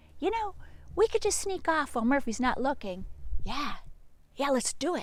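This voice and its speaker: This put-on character voice swings very widely in pitch. Long pauses come often. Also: woman, high pitch for a woman, moderate pace. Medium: read story.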